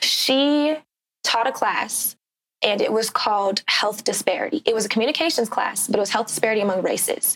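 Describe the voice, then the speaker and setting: At a fairly quick pace, a woman talks in a normal speaking voice with a fairly high pitch and very even loudness. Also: ordinary pitch variation. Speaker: broadcasting student. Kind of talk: casual interview.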